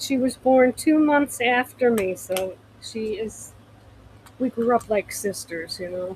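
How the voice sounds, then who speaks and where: A woman speaking at a very slow pace with ordinary pitch variation. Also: fairly high pitch for a woman. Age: 70s. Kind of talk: live-stream sales chat. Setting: home livestream.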